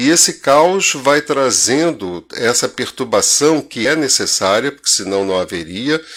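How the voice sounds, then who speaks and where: Speaking fairly slowly yet with hardly any pauses, a man uses a fairly high pitch that swings very widely. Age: 70s. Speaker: spiritist lecturer. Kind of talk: lecture.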